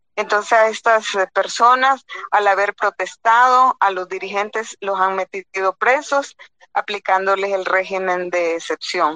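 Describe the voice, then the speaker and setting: Speaking fairly slowly, a woman at medium pitch has a bright, sharp tone in a dry, close sound with no echo. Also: ordinary pitch variation. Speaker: lawyer and former judge, human rights advocate. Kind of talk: panel discussion. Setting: phone call.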